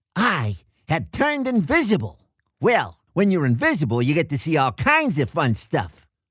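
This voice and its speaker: A man performs in a put-on character voice. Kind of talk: comic monologue. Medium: audio drama. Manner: hip, rambling, boastful.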